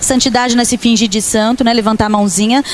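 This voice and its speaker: Over noticeable background noise, the woman's voice rises high. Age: 50s. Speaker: pastor. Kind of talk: sermon. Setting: church camp service with audience.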